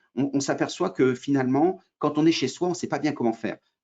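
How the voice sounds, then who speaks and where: A man speaks at a fairly quick pace. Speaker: trainer. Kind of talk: webinar presentation. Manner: fast; hesitant, many fillers.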